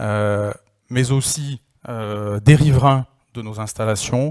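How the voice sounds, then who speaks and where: The pitch variation is ordinary, and the sound is dry and close with no echo. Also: man. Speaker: industry association chairman. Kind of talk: closing conference speech. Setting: conference hall with audience. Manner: hesitant, many fillers.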